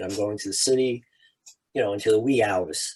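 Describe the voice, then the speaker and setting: Talking at a fairly quick pace, a man with an American accent has a fairly low, somewhat breathy voice and ordinary pitch variation. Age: 70s. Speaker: podcast host, CBD business owner. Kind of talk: casual interview chat.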